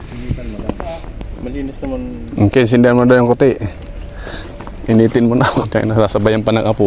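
Over noticeable background noise, a man speaks very fast but with long, frequent pauses, his medium pitch held in fairly even intonation. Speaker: vlogger and road construction worker. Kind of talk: casual vlog narration. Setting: outdoors at a road work site.

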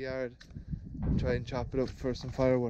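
A man talks with an Irish accent over loud background noise. The sound itself is dry, with no echo. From Ireland. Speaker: farmer and video creator. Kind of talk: casual vlog narration. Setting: outdoors on a farm. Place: farm. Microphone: phone near.

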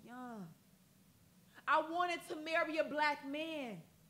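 At a fairly slow pace, a woman uses a raised, projected voice with a bright, sharp tone and ordinary pitch variation. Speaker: spoken word poet. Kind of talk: poetry performance. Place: studio.

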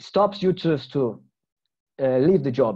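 A man speaks with a Portuguese accent at a moderate pace. The background is quiet. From Brazil. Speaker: journalist and researcher. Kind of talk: webinar presentation. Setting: video call. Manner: halting. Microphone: webcam.

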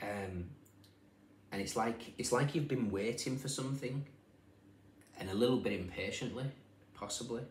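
A man talks at a fairly quick pace in a somewhat breathy voice, with light background noise and audible room echo. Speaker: tarot reader. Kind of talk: casual tarot reading commentary. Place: home room. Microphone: phone near.

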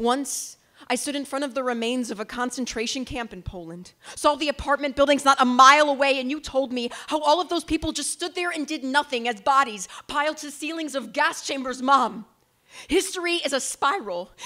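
Against a quiet background, a woman with an American accent talks fairly quickly in a raised, projected voice that is high in pitch, with ordinary pitch variation and big swings in loudness. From United States. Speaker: slam poet. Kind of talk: spoken word poetry performance. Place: stage. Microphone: handheld.

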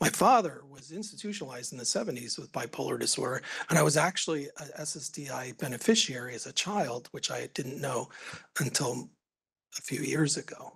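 A man's fairly high voice with vocal fry, lively intonation and big swings in loudness, at a fairly quick pace over a quiet background. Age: 50s. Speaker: economics professor; presenter. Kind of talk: conference presentation. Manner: halting. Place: meeting room. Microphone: podium.

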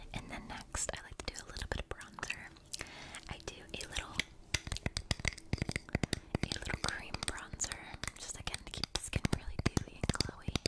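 Whispering woman at a moderate pace, with big swings in loudness and long, frequent pauses. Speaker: makeup artist roleplay. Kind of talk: ASMR personal attention roleplay. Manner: whispered, soft. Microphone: studio mic.

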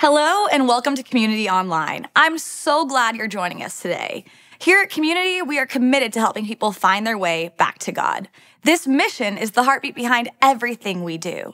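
Against a quiet background, a woman talks at a fairly quick pace in a high pitch. Her tone is bright and sharp, with very wide pitch swings. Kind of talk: church welcome announcement. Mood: warm and welcoming. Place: studio.

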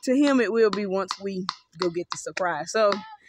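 The pace of this woman's speech is fairly slow. Her pitch shows ordinary variation.

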